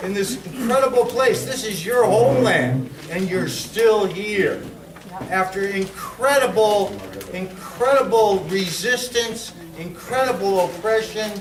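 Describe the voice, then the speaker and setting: A loud man speaks at a fairly slow pace with a high pitch and ordinary pitch variation. Noticeable background noise and audible room echo fill the recording. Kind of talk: public speech. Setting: lodge hall with audience. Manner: halting.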